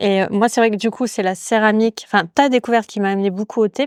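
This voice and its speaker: Dry and close with no echo, a woman's fairly high voice moves at a fairly quick pace with fairly even intonation. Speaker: podcast host, yoga teacher. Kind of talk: casual interview conversation. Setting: ceramics workshop. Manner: fast; hesitant, many fillers.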